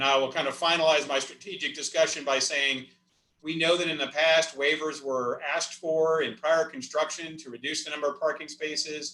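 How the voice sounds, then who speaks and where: At a fairly quick pace, a man with a fairly high pitch talks with fairly even intonation. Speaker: senior living community executive. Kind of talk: virtual town hall presentation. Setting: video call. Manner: fast.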